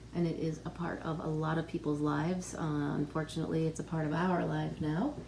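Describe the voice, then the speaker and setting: Noticeable background noise runs under the recording. The woman's voice is very deep and low. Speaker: pharmacist. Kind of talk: interviewer on health channel.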